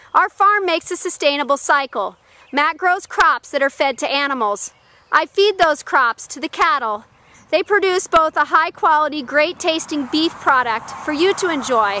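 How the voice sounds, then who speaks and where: A raised, projected voice with a bright, sharp tone moves at a moderate pace. The sound is dry and close, with no echo. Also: woman, high pitch for a woman, lively intonation. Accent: American. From Florida. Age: 30s. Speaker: cattle farmer. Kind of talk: scripted narration.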